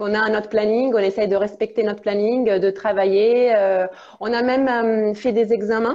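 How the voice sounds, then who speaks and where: A woman's fairly high voice in a slight Italian accent, monotone and flat in intonation, with very even loudness. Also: moderate pace. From Italy. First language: Italian (speaking French). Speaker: international relations officer and English teacher. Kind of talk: live interview. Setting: Instagram live video. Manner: hesitant, many fillers.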